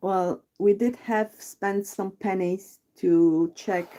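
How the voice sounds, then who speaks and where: In a Polish accent, a woman with a dark, mellow tone and medium pitch speaks very slowly with ordinary pitch variation. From Poland. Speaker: true crime livestream co-host. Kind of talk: casual chat. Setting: livestream.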